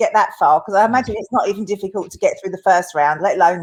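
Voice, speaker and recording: Talking at a very fast pace, a woman speaks in an Essex accent. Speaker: interviewer. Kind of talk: interview. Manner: upbeat.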